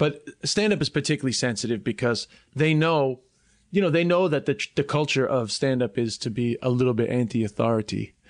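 In a quiet background, a man with a New York accent and medium pitch speaks at a fairly quick pace, with lively intonation and very even loudness. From New York (Flushing, Queens), schooled in Ireland. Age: 30s. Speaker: comedian. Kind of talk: casual chat.

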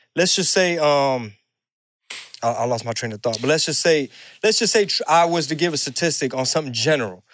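Fairly high pitch from a man with an American accent, lively intonation and a fairly quick pace on a very clean recording with a silent background. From Houston, Texas (Mexican American). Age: 40s. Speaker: rapper and stand-up comedian. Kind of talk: casual chat.

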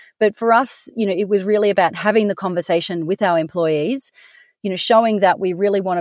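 A woman with an Australian accent at medium pitch and ordinary pitch variation, dry and close with no echo, on a very clean recording with a silent background. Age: 40s. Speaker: business managing director. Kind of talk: interview.

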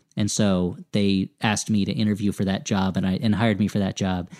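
The man speaks at a fairly quick pace with a fairly low pitch. The very clean recording has a silent background and a dry, close sound with no echo. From US Northeast, New Jersey. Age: 30s. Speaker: comedy writer and podcaster. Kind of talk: casual interview chat. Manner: halting, many false starts.

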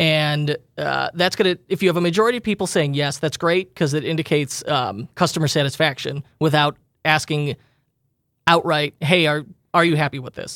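A plain, everyday voice from a man, fairly high in pitch with ordinary pitch variation, at a moderate pace, in a dry, close sound with no echo and a very clean recording with a silent background. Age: 30s. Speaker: e-commerce podcast host. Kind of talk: casual chat.

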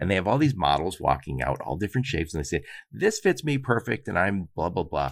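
With vocal fry and very wide pitch swings, the speaker talks at a very fast pace. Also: man, very deep, low pitch for a man. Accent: American. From Michigan (Dearborn). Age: 50s. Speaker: podcast host. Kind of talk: casual interview.

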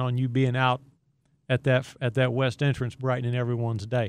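This man has an unremarkable speaking voice at a medium pitch. He talks at a moderate pace. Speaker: podcast host. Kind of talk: interview chat.

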